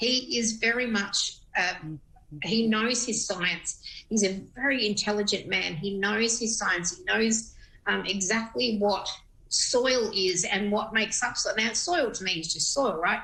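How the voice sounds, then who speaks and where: Against noticeable background noise, the speaker talks fairly slowly in an Australian accent with ordinary pitch variation. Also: woman, fairly high pitch for a woman. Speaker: radio presenter. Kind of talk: TV interview.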